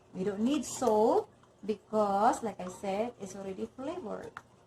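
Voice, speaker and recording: A woman speaks with a Filipino accent. Her pitch varies in an ordinary way. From Philippines. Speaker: cooking channel host. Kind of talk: cooking tutorial. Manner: halting, self-correcting.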